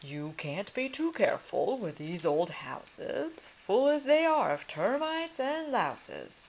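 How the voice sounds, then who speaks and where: In a put-on character voice with a high pitch, the speaker goes at a fairly slow pace with hardly any pauses. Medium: read story. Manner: pompous.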